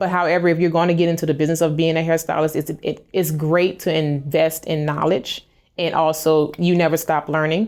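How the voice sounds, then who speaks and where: A woman speaks with a very deep, low pitch at a fairly quick pace. Her intonation is monotone and flat, with hardly any pauses. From US South, New Orleans, Louisiana. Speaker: hairstylist. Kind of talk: interview answers. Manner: fast.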